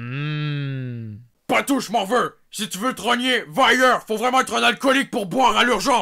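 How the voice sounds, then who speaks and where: Hardly pausing, a man speaks at a moderate pace in a raised, projected voice that is gruff and high for a man, with very wide pitch swings. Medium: comedy sketch. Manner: gruff, insulting.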